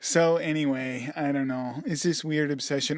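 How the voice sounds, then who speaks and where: Very clean recording with a silent background, a man with an unremarkable speaking voice, fairly high in pitch, fairly slow and fairly even in intonation. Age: 50s. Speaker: podcast co-host, caregiving husband. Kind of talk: casual chat.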